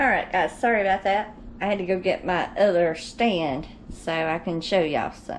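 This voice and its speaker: A woman talks with a strong Georgia accent. Her pace is moderate. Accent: Southern (Georgia), strong. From Georgia, US South. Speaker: home cooking vlogger. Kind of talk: casual cooking tutorial. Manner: casual, chatty.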